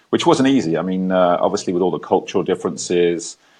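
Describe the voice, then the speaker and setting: A man talks with an English accent. His pace is fairly quick. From England. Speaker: ex-military entrepreneur, talk show guest. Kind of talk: casual interview.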